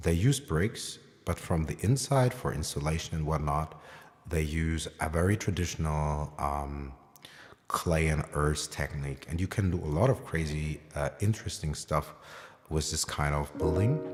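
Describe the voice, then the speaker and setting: The man's pitch is very deep and low, with ordinary variation. His pace is moderate. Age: 30s. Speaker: piano livestreamer. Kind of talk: casual chat. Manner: halting, many fillers.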